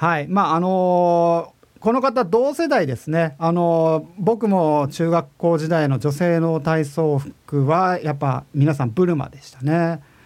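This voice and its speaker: A very slow pace with hardly any pauses, ordinary pitch variation and big swings in loudness, on a very clean recording with a silent background. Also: man, high pitch for a man. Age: 40s. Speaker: podcast host and music composer. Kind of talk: casual web radio monologue. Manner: relaxed, laid-back.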